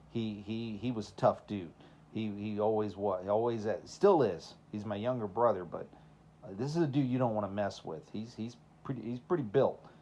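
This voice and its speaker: This man has a dark, mellow tone and fairly low pitch. His pitch varies in an ordinary way, and room echo is audible. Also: moderate pace. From Texas, then Minnesota from age eleven. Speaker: preacher. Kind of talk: sermon. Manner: casual, conversational.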